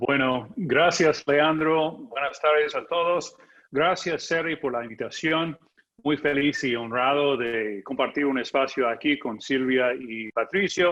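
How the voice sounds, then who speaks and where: The voice speaks at a very slow pace with ordinary pitch variation. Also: man, fairly high pitch for a man. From United States. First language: English (speaking Spanish). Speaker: journalist and political analyst. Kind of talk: conference talk.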